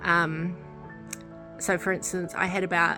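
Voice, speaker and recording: Fairly slow speech in a New Zealand accent, with music in the background. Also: woman. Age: 30s. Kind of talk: casual talk to camera.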